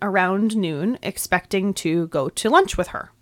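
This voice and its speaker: A woman with an American accent speaks at a moderate pace, her voice dry and close with no echo on a very clean recording against a silent background. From New York. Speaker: podcast host. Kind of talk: scripted narration of true crime, with casual banter.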